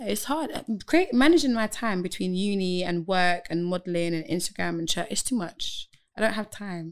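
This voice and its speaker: A woman with a London accent, medium in pitch, with lively intonation. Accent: London (multicultural London English). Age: 20s. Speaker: model and student. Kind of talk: casual chat. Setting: studio.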